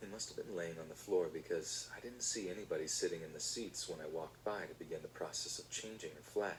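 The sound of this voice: Reading in an unforced voice.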